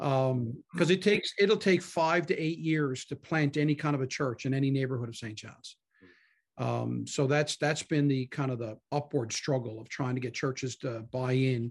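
A man with a Newfoundland accent speaks at a moderate pace, his medium-pitched voice rising and falling in an ordinary way. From Canada, Newfoundland (Harbour Grace). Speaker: pastor. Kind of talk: casual interview. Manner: animated.

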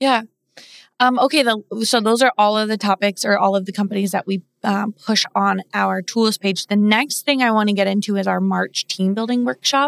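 A woman speaks in a normal speaking voice at a moderate pace and medium pitch with ordinary pitch variation, the sound dry and close with no echo. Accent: American. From US Midwest, Omaha, Nebraska. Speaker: real estate operations and marketing director. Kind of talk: casual interview chat. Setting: studio.

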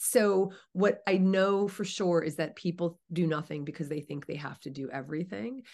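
A woman speaks in an unremarkable speaking voice, fairly low in pitch, at a moderate pace with hardly any pauses and ordinary pitch variation. Her loudness swings widely over a quiet background. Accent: American. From US East Coast, New Jersey. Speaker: vegan author and advocate. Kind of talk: interview conversation.

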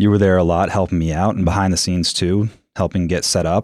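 Someone with a New England accent talks at a fairly quick pace with fairly even intonation. The recording is very clean with a silent background and a dry, close sound with no echo. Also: man. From New Hampshire, US. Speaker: gym owner and coach. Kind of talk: casual interview chat.

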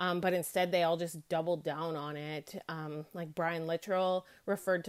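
At a moderate pace and with hardly any pauses, a woman speaks in a fairly low pitch with monotone, flat intonation. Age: 30s. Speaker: listener sharing experience as a fan. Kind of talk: recorded voice note testimony.

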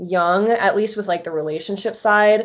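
In an American accent, a woman with an unremarkable speaking voice talks at a medium pitch with ordinary pitch variation. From Florida. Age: 30s. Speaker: photographer and graphic designer. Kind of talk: casual chat.

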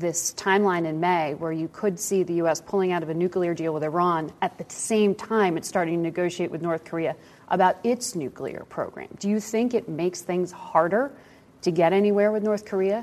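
A woman with a plain, everyday voice, fairly low-pitched, moderate in pace, with ordinary pitch variation. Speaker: TV news host. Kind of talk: news interview.

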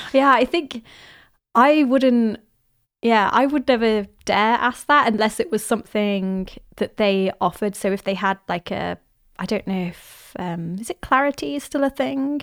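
Heard in a dry, close sound with no echo, a woman with an unremarkable speaking voice talks at a moderate pace, her pitch fairly high and her intonation lively. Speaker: podcast host. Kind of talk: casual conversation podcast.

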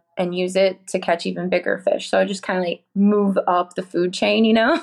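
A woman speaks with a Texas accent at a medium pitch. Her pace is moderate and her intonation fairly even. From Texas, Corpus Christi. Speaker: surf fishing guide. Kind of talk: casual interview chat.

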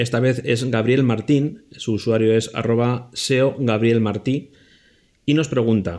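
A man's fairly slow delivery at medium pitch, dark, mellow tone and ordinary pitch variation. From Spain, Zaragoza. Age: 40s. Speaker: podcast co-host and editor. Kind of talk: reading listener questions. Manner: slow, deliberate reading.

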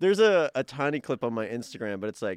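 A man with a plain, everyday voice speaks at a medium pitch with lively intonation, the sound dry and close with no echo on a very clean recording with a silent background. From Nova Scotia, Canada. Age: 30s. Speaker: guest. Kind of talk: casual chat.

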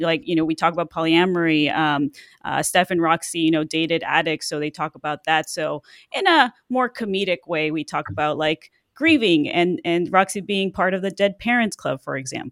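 With an ordinary speaking voice, a woman talks at a fairly quick pace in a fairly low pitch with ordinary pitch variation, in a very clean recording with a silent background and a dry, close sound with no echo. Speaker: podcast co-host, horror superfan. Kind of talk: casual chat.

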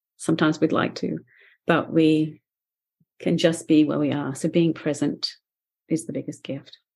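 Long, frequent pauses break up a monotone, flat delivery with vocal fry at a moderate pace, over a quiet background. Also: woman, very deep, low pitch for a woman. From Australia. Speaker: painter and author. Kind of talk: interview conversation. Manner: laughs often.

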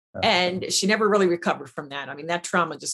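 Ordinary pitch variation in a woman's fairly low voice. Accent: American. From Pennsylvania, Philadelphia area. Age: 50s. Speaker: business strategist. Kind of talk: interview. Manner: energetic.

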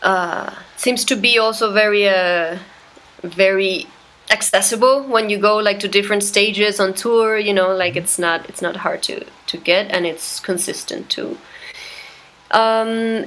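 Fairly slow speech in a Spanish accent, with ordinary pitch variation. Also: woman, medium pitch for a woman. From Chile, Santiago. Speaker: jazz guitarist and singer. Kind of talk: interview. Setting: video call.

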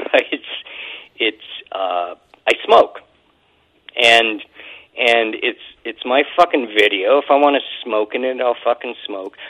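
At a very slow pace, a man speaks with lively intonation. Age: 60s. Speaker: musician. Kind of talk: casual chat. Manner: halting.

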